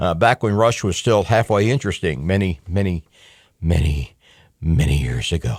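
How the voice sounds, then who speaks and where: On a very clean recording with a silent background and a dry, close sound with no echo, a man uses a plain, everyday voice with lively intonation at a moderate pace. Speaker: talk radio host. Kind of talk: talk radio show monologue. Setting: radio studio broadcast.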